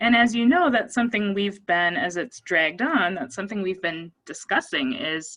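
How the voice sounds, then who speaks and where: With an American accent, a woman speaks at a medium pitch and a moderate pace, her tone bright and sharp, her pitch swinging very widely, with hardly any pauses. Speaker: psychologist. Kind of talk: presentation.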